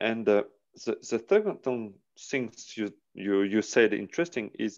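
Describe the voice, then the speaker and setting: Against a quiet background, a man with a French accent speaks at a fairly slow pace and medium pitch, his pitch varying in an ordinary way. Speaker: aikido interviewer. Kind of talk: interview. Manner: halting. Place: home room. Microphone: earbuds.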